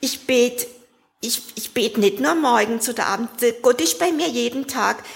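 A woman's fairly high-pitched voice at a moderate pace, with noticeable background noise. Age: 60s. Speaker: recovering alcoholic. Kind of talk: testimony.

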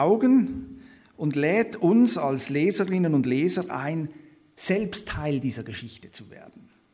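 A man at a very slow pace with very wide pitch swings, in audible room echo. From Switzerland. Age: 30s. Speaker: theology lecturer and guest preacher. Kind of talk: sermon-style Bible study lecture.

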